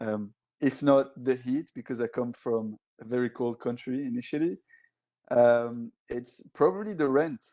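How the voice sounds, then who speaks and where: In a French accent, a man speaks with medium pitch, ordinary pitch variation and a dark, mellow tone. The sound is dry and close with no echo, set against a quiet background. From Belgium, Brussels. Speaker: tech alliances director. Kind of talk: casual interview chat. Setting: podcast recording.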